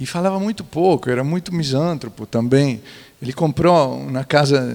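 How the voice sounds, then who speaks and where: A man with an Italian accent, lively intonation and a fairly slow pace. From central Italy, near Florence. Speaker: architect and museologist. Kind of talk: panel talk. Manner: halting.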